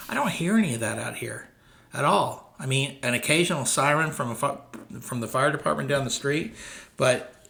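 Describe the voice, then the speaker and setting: With noticeable background noise and audible room echo, a man with an American accent talks at a moderate pace, his fairly high pitch carrying lively intonation. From Dallas, Texas. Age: 60s. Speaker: real estate broker. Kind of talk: casual talk to camera. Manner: conversational, hesitant fillers.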